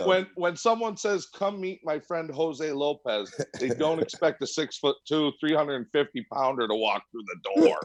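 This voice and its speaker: A man with a plain, everyday voice, fairly high pitch and lively intonation, at a moderate pace with hardly any pauses, in a dry, close sound with no echo. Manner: jokey, boastful storyteller.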